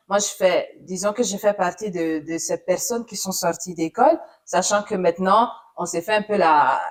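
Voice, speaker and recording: Medium pitch from a woman, a fairly slow pace and ordinary pitch variation. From Italy. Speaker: journalist. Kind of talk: interview. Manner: hesitant, many fillers.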